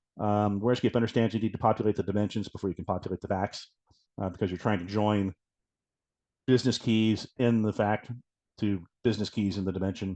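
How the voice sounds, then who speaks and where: A man at a very fast pace with long, frequent pauses, fairly low pitch, monotone, flat intonation and a dry, close sound with no echo. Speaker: software product presenter. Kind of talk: product demo webinar.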